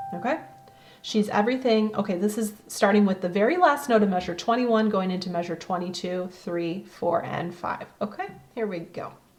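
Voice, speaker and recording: A woman with an American accent, medium pitch, ordinary pitch variation, a moderate pace broken by long, frequent pauses, and noticeable background noise. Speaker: piano teacher. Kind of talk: tutorial.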